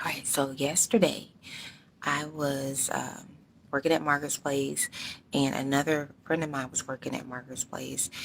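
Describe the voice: A quiet, raspy put-on character voice in a flat monotone at a moderate pace. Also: woman, very deep, low pitch for a woman.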